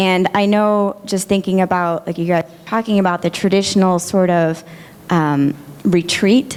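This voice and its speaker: Noticeable background noise sits behind this woman's voice. She is soft-spoken, at a medium pitch. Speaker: audience member asking a question. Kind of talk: audience question. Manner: hesitant, many fillers.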